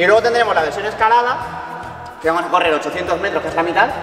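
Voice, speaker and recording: A man's voice with audible room echo and faint music in the background. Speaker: fitness coach vlogger. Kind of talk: casual vlog chat and workout explanation. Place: gym.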